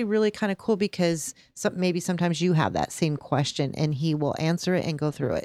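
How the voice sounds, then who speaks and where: In a very clean recording with a silent background and a dry, close sound with no echo, a woman with a fairly low pitch and a plain, everyday voice talks with ordinary pitch variation. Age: 50s. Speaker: podcast co-host. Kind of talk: casual chat. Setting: studio.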